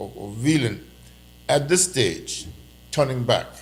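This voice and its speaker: Over audible room echo, a man with a Turks and Caicos accent speaks with lively intonation and vocal fry. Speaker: political commentator. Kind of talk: casual chat. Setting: live stream. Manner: loud; halting.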